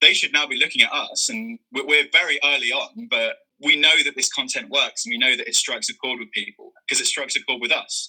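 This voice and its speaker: Delivered at a fairly quick pace with hardly any pauses, the speech comes in a Birmingham accent with a dry, close sound and no echo. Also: man. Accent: Brummie. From Birmingham, England. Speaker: content creator. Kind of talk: interview. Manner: halting.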